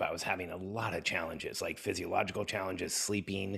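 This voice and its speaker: At a fairly quick pace, a man speaks very deep and low, with a bright, sharp tone. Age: 50s. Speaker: entrepreneur and business coach. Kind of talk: interview conversation.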